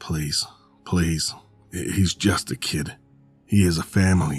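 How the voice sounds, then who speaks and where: In a put-on character voice, a man speaks raspy and very deep at a fairly slow pace with fairly even intonation while music plays in the background. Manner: begging.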